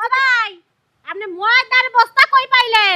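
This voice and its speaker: Putting on a squeaky character voice, a woman talks at a moderate pace with an extremely high pitch. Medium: comedy sketch. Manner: feisty, combative.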